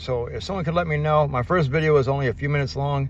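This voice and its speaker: A man at medium pitch sounds somewhat breathy as he talks at a fairly quick pace, with audible room echo. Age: 50s. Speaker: vlogger. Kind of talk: casual vlog monologue. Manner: fast, words blending together.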